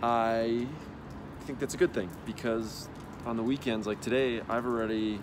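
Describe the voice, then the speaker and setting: Amid audible room echo, a man with a Wisconsin accent speaks at a moderate pace in a fairly low pitch. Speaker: spinal cord injury patient. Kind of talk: video diary update. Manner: casual, with fillers.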